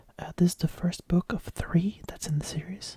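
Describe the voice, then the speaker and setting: Whispering fills this clip, delivered at a moderate pace. The tone is calm and relaxed. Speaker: ASMR reader / YouTuber. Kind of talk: casual intro to camera before reading. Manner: calm, relaxed, soft-spoken.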